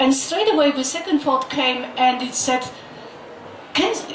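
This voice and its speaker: With a Polish accent, a woman speaks at a high pitch with ordinary pitch variation, amid audible room echo and noticeable background noise. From Poland. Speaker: doctor and author. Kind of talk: book launch talk.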